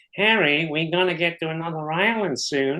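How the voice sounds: Using a put-on character voice, a man talks at a moderate pace in a high, nasal tone with ordinary pitch variation.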